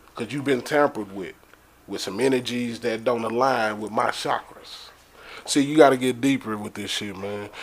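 An ordinary speaking voice from a man with an American accent, medium in pitch, fairly even in intonation, at a moderate pace, with big swings in loudness. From Dallas, Texas. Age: 30s. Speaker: rapper and entrepreneur. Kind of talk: casual chat.

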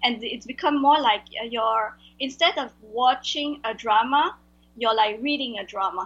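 Her voice high-pitched, a woman speaks at a fairly slow pace. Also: ordinary pitch variation. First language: Vietnamese. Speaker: translator. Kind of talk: interview. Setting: video call. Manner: halting.

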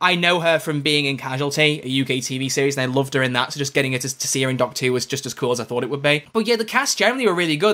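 A man with a slight Scouse accent, fairly high-pitched, talking very fast with ordinary pitch variation and a bright, sharp tone, on a very clean recording against a silent background. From Liverpool. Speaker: podcast co-host and YouTuber. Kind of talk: casual banter chat. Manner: joking, playful.

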